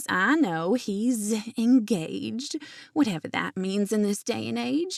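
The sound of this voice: An unforced reading voice full of lively intonation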